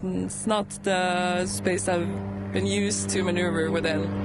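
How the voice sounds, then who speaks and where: In a room with audible echo, a woman talks at a moderate pace with a Norwegian accent. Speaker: pilot and flight instructor. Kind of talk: interview.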